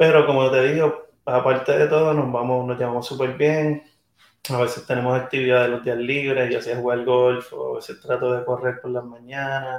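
Here a man at a medium pitch talks at a moderate pace with monotone, flat intonation. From Venezuela, raised in Puerto Rico. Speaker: touring musician. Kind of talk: casual interview. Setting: backstage room at music venue.

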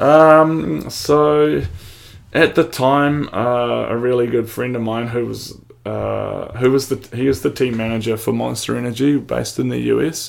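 Here a man speaks with a New Zealand accent. His pace is fairly slow. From New Zealand, Wanaka. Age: 30s. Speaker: professional snowboarder. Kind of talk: casual chat.

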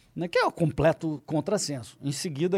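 The man talks at a moderate pace. His tone is dark and mellow. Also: very clean recording, silent background.

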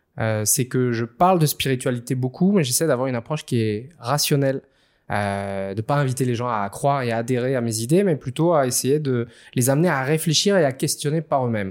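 Recorded very cleanly against a silent background, a man with a normal speaking voice talks at a fairly quick pace, at medium pitch with ordinary pitch variation. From Réunion. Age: 30s. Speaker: author and speaker on spirituality. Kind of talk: interview.

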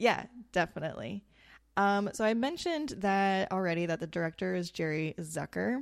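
At a moderate pace, a woman with an ordinary speaking voice and fairly low pitch talks on a very clean recording with a silent background. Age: 30s. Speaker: podcast host. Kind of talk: casual chat.

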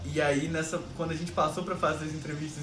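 Amid noticeable background noise and audible room echo, a man with a fairly high voice talks at a very fast pace. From Rio de Janeiro, Brazil. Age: 20s. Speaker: podcast host, digital artist. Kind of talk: casual chat.

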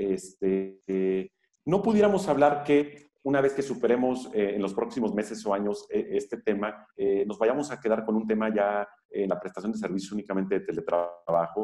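A man talks with a Mexican accent and a fairly low pitch. His pitch varies in an ordinary way. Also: moderate pace. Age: 40s. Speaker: labor lawyer and university professor. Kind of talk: interview.

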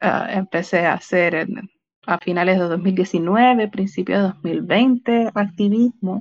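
A woman at medium pitch talks at a very slow pace with fairly even intonation. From Chile. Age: 20s. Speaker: asexual activist. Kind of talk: casual panel discussion.

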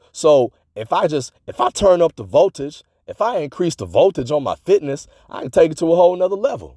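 Man with a high pitch and an animated tone, lively intonation at a moderate pace, in a very clean recording with a silent background and a dry, close sound with no echo. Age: 40s. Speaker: fitness podcast host and author. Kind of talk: motivational solo podcast monologue. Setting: solo recording at a microphone.

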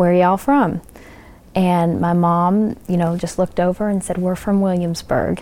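A woman with an Appalachian accent, fairly low in pitch, at a moderate pace. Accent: Appalachian Southern American. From Corbin, Kentucky (Appalachia). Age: 20s. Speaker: local resident. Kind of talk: interview.

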